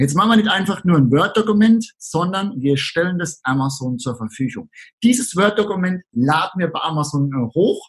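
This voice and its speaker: Lively intonation carries a man's high voice as he talks. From Southern Palatinate, Germany. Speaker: online marketing entrepreneur. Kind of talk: interview.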